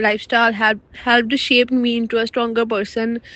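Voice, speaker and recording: This woman has a Punjabi accent and a fairly high pitch. Her intonation stays fairly even. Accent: Indian Punjabi English. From Punjab, India. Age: 20s. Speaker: international student. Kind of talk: personal story reading.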